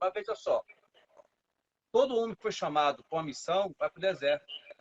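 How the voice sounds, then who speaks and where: A man speaks at a fairly quick pace in a high pitch, recorded with a dry, close sound and no echo. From Brazil, Brasília. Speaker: capoeira master. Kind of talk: casual interview.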